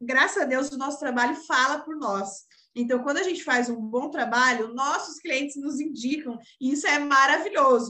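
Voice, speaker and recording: A woman projects a raised voice, high-pitched and bright, sharp in tone. She keeps a moderate pace with ordinary pitch variation. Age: 20s. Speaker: social media manager, entrepreneur. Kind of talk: casual interview chat.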